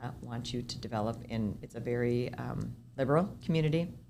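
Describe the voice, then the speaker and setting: A woman speaks with a very deep, low pitch and vocal fry. The room echo is audible. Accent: American. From Minnesota, US. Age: 60s. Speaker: senior housing developer. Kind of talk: podcast interview. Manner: conversational, with false starts and repetitions.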